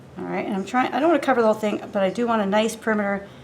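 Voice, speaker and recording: Noticeable background noise sits under this recording. The speaker is a woman whose pitch moves in an ordinary way. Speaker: glass artist. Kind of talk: tutorial. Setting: studio. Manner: casual, thinking aloud.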